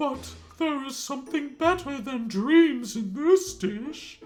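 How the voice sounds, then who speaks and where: At a fairly slow pace, a high-pitched, put-on character voice speaks over faint music in the background. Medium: read story. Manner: sighing, motherly.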